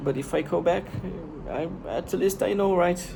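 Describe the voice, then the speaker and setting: Here a man with a Brazilian accent speaks with ordinary pitch variation. Room echo can be heard. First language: Portuguese. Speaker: vlogger. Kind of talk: casual monologue. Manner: halting, with repetitions.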